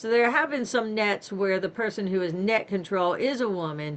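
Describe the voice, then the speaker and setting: A woman talks fairly slowly while noticeable noise runs in the background. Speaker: invited speaker, radio operator. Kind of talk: talk with Q&A. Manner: conversational, with fillers.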